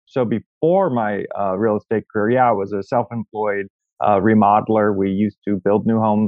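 Pitched fairly low, a man talks at a moderate pace with fairly even intonation. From US Pacific Northwest. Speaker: real estate agent. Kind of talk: interview. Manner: jokey, self-deprecating.

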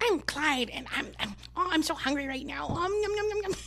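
Clear background noise sits under a put-on character voice that is high-pitched and moves at a moderate pace. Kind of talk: playful pet voice. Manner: cute, eager, hungry.

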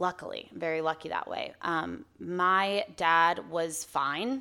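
A woman's fairly low voice with an American accent, at a very slow pace, on a very clean recording with a silent background. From Arizona. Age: 20s. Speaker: singer-songwriter. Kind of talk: casual chat.

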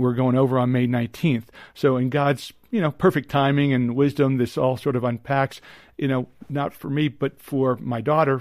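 An unremarkable speaking voice from a man at a medium pitch with fairly even intonation. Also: moderate pace. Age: 50s. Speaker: psychiatrist. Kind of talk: interview.

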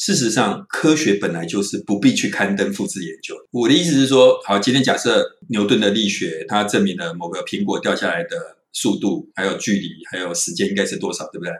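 Hardly any pauses from a man talking at a fairly quick pace. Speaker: psychology professor. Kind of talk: interview.

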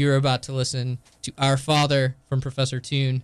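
A plain, everyday voice from a man at medium pitch and moderate pace, in a dry, close sound with no echo. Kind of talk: radio DJ patter, upbeat station-ID and show plugs.

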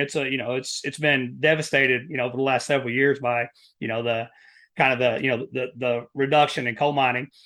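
A man speaks with an Appalachian accent. His pace is very fast. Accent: Appalachian Southern US. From US South, Southeast Kentucky (Appalachia). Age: 40s. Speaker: endurance athlete and Air Force veteran. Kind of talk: casual interview conversation. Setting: in-person podcast studio.

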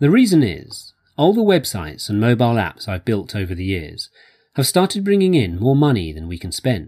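A man with an English accent speaks at a fairly quick pace, his medium-pitched voice dark and mellow. His pitch swings very widely, and the recording is very clean with a silent background. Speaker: voiceover reader. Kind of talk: reading aloud.

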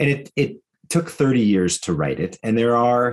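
Here is a man with an ordinary speaking voice and lively intonation. He talks at medium pitch and a moderate pace against a quiet background. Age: 50s. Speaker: author and educator. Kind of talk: interview.

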